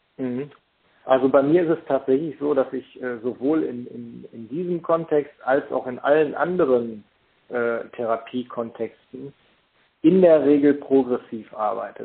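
A man speaks at medium pitch and a fairly slow pace with ordinary pitch variation. His loudness swings a lot. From Germany, Paderborn area (East Westphalia). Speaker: hypnotherapist and lecturer. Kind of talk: interview. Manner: hesitant, many fillers.

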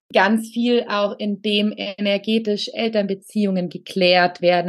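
A woman talks at a fairly slow pace with ordinary pitch variation. She has a normal speaking voice. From Allgäu, southern Germany. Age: 30s. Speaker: spiritual coach for women. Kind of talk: casual interview chat.

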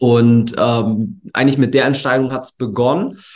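With a medium pitch and monotone, flat intonation, a man speaks at a moderate pace. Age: 20s. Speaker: entrepreneur, agency founder. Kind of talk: interview. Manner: relaxed; hesitant, many fillers.

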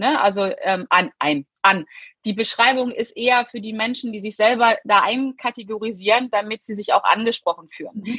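A woman speaks in a normal speaking voice at a fairly high pitch with ordinary pitch variation. Her pace is moderate, and the sound is dry and close with no echo. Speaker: success and mindset coach. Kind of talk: interview.

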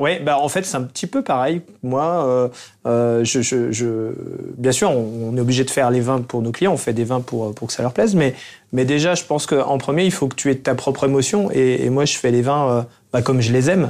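Over music in the background, a man speaks at a moderate pace and medium pitch. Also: ordinary pitch variation. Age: 40s. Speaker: winemaker, cellar master. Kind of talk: casual chat. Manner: hesitant, with many fillers.

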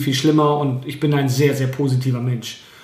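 Audible room echo mixes with noticeable background noise throughout the clip. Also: man. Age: 30s. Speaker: real estate agent. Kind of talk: interview. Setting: his own premises.

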